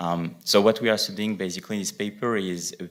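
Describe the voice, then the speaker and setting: This man speaks very fast with a French accent, his pitch very deep and low. His intonation is fairly even, and the recording is very clean with a silent background. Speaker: economics researcher. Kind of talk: conference presentation. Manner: hesitant, many fillers.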